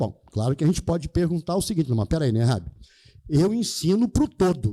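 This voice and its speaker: Very wide pitch swings in a man's dark, mellow tone. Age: 70s. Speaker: math teacher. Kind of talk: lecture. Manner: animated.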